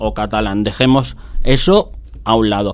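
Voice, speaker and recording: A man speaks at a very slow pace. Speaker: taxi dispatcher. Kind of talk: radio interview.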